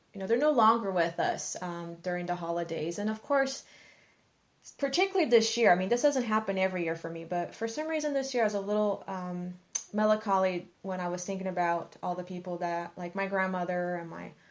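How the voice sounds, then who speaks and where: A fairly quick pace and ordinary pitch variation. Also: woman, medium pitch for a woman. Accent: Brazilian. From Brazil. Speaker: podcast co-host. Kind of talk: casual chat.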